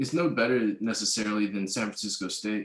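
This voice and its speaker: An unremarkable speaking voice moves at a fairly quick pace in an American accent. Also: man. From Oakland, California. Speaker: former community college student. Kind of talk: casual interview chat.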